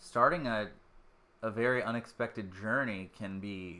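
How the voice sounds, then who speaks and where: Lively intonation and a bright, sharp tone mark this man's voice, which has an American accent. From Maryland (Dundalk, Baltimore area). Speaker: band member streaming. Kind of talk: casual live stream talk. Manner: fast; halting, loses train of thought.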